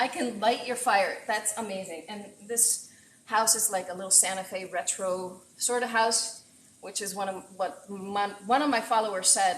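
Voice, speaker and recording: Over noticeable background noise, a woman talks with fairly even intonation but big swings in loudness. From Puerto Rico. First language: Spanish. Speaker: chef. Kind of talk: live cooking stream. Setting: home kitchen. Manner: casual and chatty.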